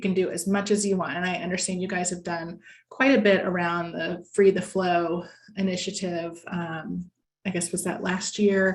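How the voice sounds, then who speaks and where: A woman with an American accent speaks at a medium pitch and moderate pace, somewhat breathy, with fairly even intonation. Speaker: lobbyist, guest speaker. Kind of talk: presentation at a members' meeting. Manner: conversational with frequent fillers.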